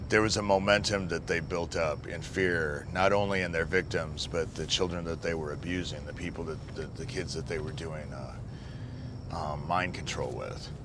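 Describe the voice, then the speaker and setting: Over noticeable background noise and audible room echo, a man with an American accent talks at a moderate pace, his very deep, low voice showing ordinary pitch variation. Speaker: abuse survivor. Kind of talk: documentary interview.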